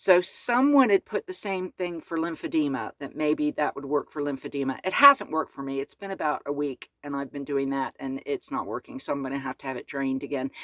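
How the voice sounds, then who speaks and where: With an American accent, a woman speaks fairly quickly in a very deep, low pitch, using ordinary pitch variation. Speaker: van-life vlogger. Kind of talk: casual vlog update. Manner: chatty, filler-heavy.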